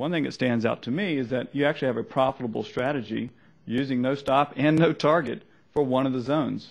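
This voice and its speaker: A man's very fast speech at medium pitch, with vocal fry, ordinary pitch variation and a slight Southern US accent. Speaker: trader. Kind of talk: seminar presentation.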